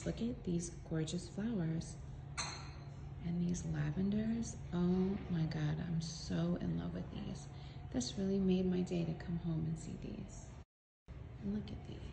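Soft-spoken and fairly slow, a woman talks with long, frequent pauses over noticeable background noise. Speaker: beauty brand founder. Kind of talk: casual product unboxing to camera. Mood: delighted, admiring. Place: home room. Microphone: phone near.

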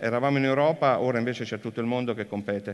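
A man talks at a very fast pace over a quiet background. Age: 50s. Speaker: business executive; speaker. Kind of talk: conference talk. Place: stage.

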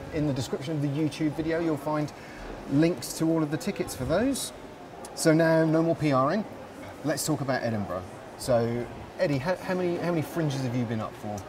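Over noticeable background noise, a man with a fairly high pitch and ordinary pitch variation talks at a fairly quick pace, leaving long, frequent pauses. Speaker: livestream host. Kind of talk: casual interview chat. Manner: jokey, chatty. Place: bar.

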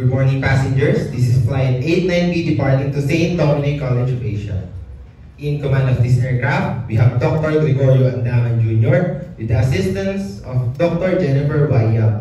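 A man talks at a moderate pace, and audible room echo surrounds his voice. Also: ordinary pitch variation. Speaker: event announcer playing senior flight crew. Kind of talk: scripted announcement. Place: hall.

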